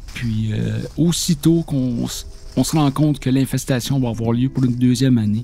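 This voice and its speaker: A medium-pitched man at a fairly slow pace, with ordinary pitch variation and noticeable background noise. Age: 60s. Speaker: maple syrup producer. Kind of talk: interview testimony.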